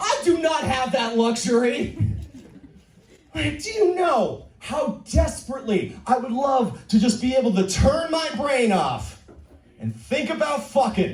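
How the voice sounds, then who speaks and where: Amid noticeable background noise and audible room echo, a man speaks loudly at a fairly slow pace, his extremely high pitch carrying lively intonation. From US Pacific Northwest, Portland. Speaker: comedian. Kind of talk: stand-up. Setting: stage with audience. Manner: animated.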